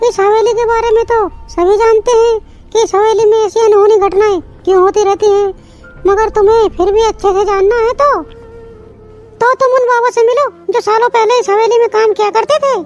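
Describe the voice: A woman performs a cartoonish character voice at an extremely high pitch and a fairly quick pace, her loudness very even, with music clearly heard in the background.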